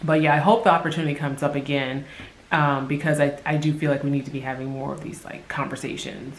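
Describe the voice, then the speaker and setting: Over noticeable background noise and audible room echo, a woman with a very deep, low pitch speaks very fast with fairly even intonation. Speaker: vlogger. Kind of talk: casual vlog monologue. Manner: hesitant, many fillers.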